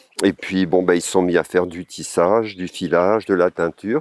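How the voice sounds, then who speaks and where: A man speaks with a very deep, low pitch and fairly even intonation. The sound is dry and close with no echo. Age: 70s. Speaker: wool spinner and artist. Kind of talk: interview monologue. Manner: halting, many hesitations.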